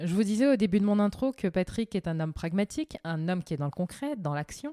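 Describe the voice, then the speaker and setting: Her intonation is lively and her tone dark and mellow. The woman speaks at a fairly quick pace in a dry, close sound with no echo. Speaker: podcast host. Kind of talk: scripted intro; interview.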